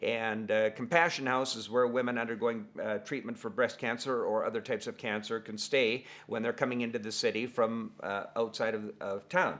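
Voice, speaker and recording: Speaking with a normal speaking voice, a man holds a medium pitch and fairly even intonation. His pace is moderate, with hardly any pauses. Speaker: fundraising auctioneer. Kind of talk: casual talk to camera.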